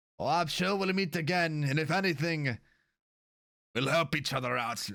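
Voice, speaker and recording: A put-on character voice at a moderate pace. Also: man, fairly high pitch for a man. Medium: actual play. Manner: relaxed, genial.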